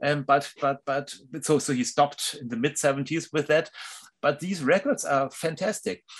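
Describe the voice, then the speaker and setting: A man in a German accent speaks at a moderate pace with fairly high pitch and ordinary pitch variation. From Germany, Hamburg. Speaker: music journalist and author. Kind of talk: interview. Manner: halting.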